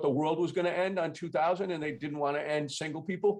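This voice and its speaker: A man talks very fast, his pitch varying in an ordinary way, while noticeable background noise fills the recording. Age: 60s. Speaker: business owner and ministry guest. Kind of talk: casual chat.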